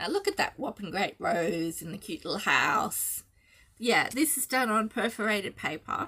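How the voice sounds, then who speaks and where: A woman speaks with a fairly high pitch, a bright, sharp tone and very wide pitch swings. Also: moderate pace, big swings in loudness. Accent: Australian. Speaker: cross-stitch designer and video host. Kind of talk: casual chat. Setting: home video, early morning.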